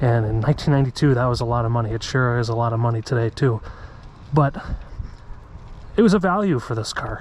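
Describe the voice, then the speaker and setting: Very fast pace broken by long, frequent pauses. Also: man, medium pitch for a man, ordinary pitch variation, very clean recording, silent background. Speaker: car reviewer. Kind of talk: POV driving review. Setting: in a car. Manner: soft-spoken.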